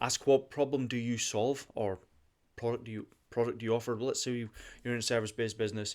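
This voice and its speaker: A man at a medium pitch and a very fast pace, in a very clean recording with a silent background. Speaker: podcast host and digital marketing agency owner. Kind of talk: motivational podcast monologue. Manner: animated.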